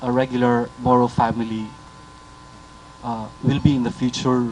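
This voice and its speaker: Over noticeable background noise, a man talks at a moderate pace and a medium pitch. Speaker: journalist. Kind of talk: press conference question.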